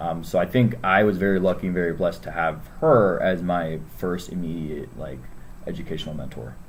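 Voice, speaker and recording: With a General American accent, a man talks fairly quickly in a very deep, low voice with ordinary pitch variation, amid audible room echo and noticeable background noise. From Northern Virginia, US. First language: Spanish. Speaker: school staff member. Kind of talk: interview. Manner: hesitant, many fillers.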